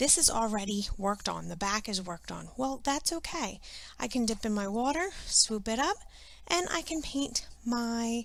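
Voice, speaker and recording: Lively intonation marks a woman's unremarkable speaking voice at a fairly high pitch. She keeps a moderate pace. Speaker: art teacher. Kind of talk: tutorial.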